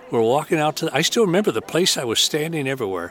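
Noticeable background noise behind a man's lively intonation. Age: 80s. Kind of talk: interview conversation. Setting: conference interview.

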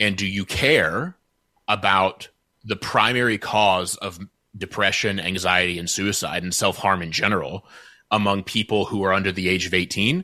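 A man's voice at a fairly low pitch with a bright, sharp tone, fairly even intonation and a moderate pace, on a very clean recording with a silent background. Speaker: social media expert. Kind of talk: interview.

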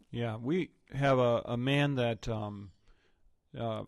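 A man's medium-pitched voice, an ordinary speaking voice, with fairly even intonation. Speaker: pastor and podcast host. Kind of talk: interview.

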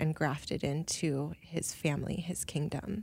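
Speaking with an American accent, a woman has a very deep, low pitch. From Minnesota, US. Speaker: artist and illustrator. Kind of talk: interview.

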